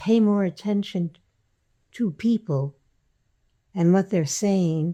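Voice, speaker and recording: In a dark, mellow tone and a fairly low pitch, a woman speaks at a very slow pace with ordinary pitch variation, recorded very cleanly against a silent background. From France, then New York (Queens). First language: French. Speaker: health and education activist. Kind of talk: oral history interview. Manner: halting, with many fillers.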